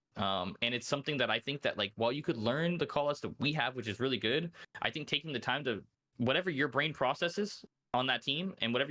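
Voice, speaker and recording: Loud and very fast, a man speaks at a medium pitch with a bright, sharp tone. His pitch varies in an ordinary way, and the recording is very clean with a silent background. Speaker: esports pro player. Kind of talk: interview. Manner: casual, filler-heavy.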